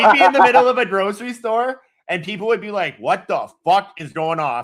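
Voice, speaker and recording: Pitching high, a man talks at a fairly quick pace with very wide pitch swings and big swings in loudness. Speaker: podcast co-host. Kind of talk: casual chat. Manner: loud laugh.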